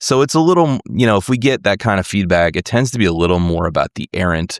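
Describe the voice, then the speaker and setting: A man with an American accent talks at a fairly quick pace with vocal fry, his voice dry and close with no echo. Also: very clean recording, silent background. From USA. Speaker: podcast host and musician. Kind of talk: interview conversation.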